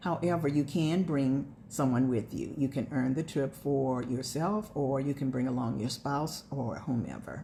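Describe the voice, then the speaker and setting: Her voice is very deep and low for a woman, with a dark, mellow tone, vocal fry, ordinary pitch variation and a moderate pace. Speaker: direct sales consultant. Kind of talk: sales pitch.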